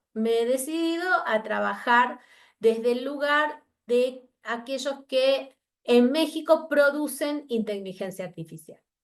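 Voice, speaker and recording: A woman with an Argentine accent at a fairly slow pace over a quiet background. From Argentina. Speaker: researcher. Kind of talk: academic talk. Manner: halting.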